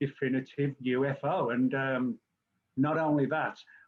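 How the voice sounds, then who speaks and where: A man with an English accent, medium in pitch, fairly slow in pace, with monotone, flat intonation. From England. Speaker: journalist and UFO author. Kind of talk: interview.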